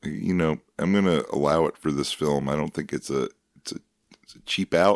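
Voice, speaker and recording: A man speaks with a very deep, low pitch and vocal fry. His loudness swings widely, and the sound is dry and close with no echo. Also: ordinary pitch variation, moderate pace. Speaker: podcast host. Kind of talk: casual banter.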